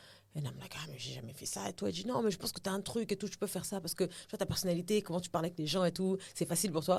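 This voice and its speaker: A woman speaks at a very fast pace with hardly any pauses, in a fairly low pitch with ordinary pitch variation. Her voice has vocal fry and big swings in loudness. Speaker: actress and TV host. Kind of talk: podcast interview. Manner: casual, code-switching into English.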